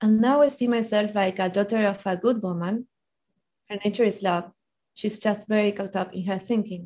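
Someone with a Spanish accent speaks at a moderate pace in a dark, mellow tone with fairly even intonation. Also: woman, medium pitch for a woman. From Argentina. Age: 30s. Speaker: life coach. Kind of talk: interview.

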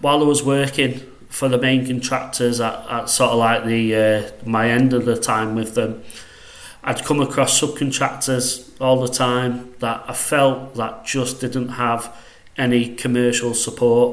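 Delivered in a Mancunian accent at a fairly slow pace, the speech is flat and monotone, with audible room echo and noticeable background noise. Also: man, medium pitch for a man. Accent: northwest English (Mancunian). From northwest England, Salford near Manchester. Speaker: quantity surveyor, consultancy director. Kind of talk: casual interview. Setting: studio.

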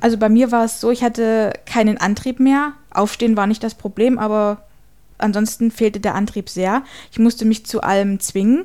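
A woman with a dark, mellow tone speaks at a fairly high pitch. Her pace is moderate and her intonation fairly even. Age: 30s. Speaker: paralegal. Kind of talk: testimony.

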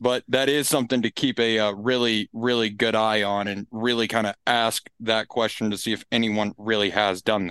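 A man speaks at medium pitch and a moderate pace with hardly any pauses. His intonation is monotone and flat. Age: 20s. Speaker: fraternal lodge member, social media volunteer. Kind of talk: casual interview. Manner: halting, repeats words.

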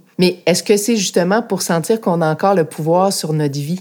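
A woman's fairly low voice with ordinary pitch variation, an ordinary speaking voice, on a very clean recording with a silent background. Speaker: podcast host, former politician. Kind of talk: interview.

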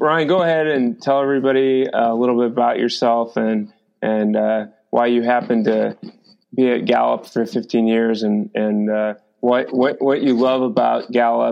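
A man with a normal speaking voice, medium pitch, fairly even intonation, very even loudness and a moderate pace. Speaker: podcast host and wellness company founder. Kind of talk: podcast interview.

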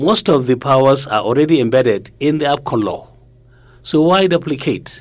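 A northern Nigerian accent, lively intonation and a moderate pace. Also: man. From Nigeria, Kano. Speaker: retired broadcasting regulator. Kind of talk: interview.

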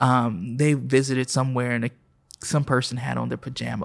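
A man with a plain, everyday voice at medium pitch speaks at a fairly quick pace with fairly even intonation. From Oklahoma City. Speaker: pastor. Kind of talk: casual interview.

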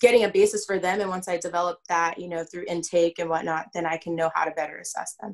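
An unremarkable speaking voice: a woman with an American accent, fairly low pitch, fairly quick pace and fairly even intonation. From Southern California. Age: 20s. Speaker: sports psychology consultant. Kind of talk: podcast interview.

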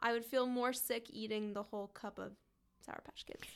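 A woman with an American accent at a moderate pace, in a very clean recording with a silent background. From Washington DC area. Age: 20s. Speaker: podcast co-host. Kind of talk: casual chat.

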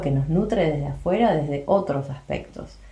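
A woman with an Argentine accent talks in a very deep, low pitch and fairly even intonation, with audible room echo and noticeable background noise. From Buenos Aires, Argentina. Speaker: podcast co-host, health coach. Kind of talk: casual chat.

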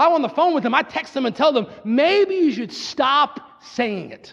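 An animated man with an American accent, fairly slow, with very wide pitch swings. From Pennsylvania, US. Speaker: pastor. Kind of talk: sermon.

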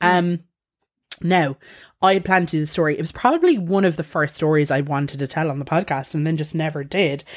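In a very clean recording with a silent background, a woman with an Irish accent talks very fast at a very deep, low pitch. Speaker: podcast host. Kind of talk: casual storytelling chat. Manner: animated.

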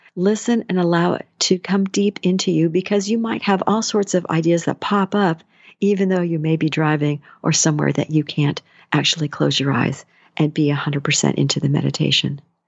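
With a normal speaking voice, a woman talks at a moderate pace and fairly low pitch, with ordinary pitch variation and very even loudness. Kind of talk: guided meditation.

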